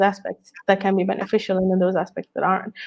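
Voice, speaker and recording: This woman's voice sits at a medium pitch. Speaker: psychologist. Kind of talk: interview. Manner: stuttering a bit.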